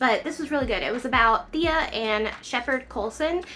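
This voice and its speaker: Music plays in the background as a woman talks with a strong Southern US accent. Her pace is moderate and her pitch variation ordinary. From Kentucky, US South. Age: 30s. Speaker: book vlogger. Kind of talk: casual book review vlog. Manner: animated.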